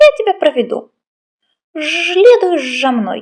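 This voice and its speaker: A woman puts on a squeaky character voice at an extremely high pitch. She speaks fairly slowly, her pitch swinging very widely. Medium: read story. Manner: buzzing "zh" sounds.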